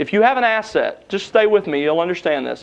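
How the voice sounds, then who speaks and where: With a Southern US accent, a man speaks at a high pitch and a moderate pace, his intonation lively. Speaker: seminary lecturer. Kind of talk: lecture.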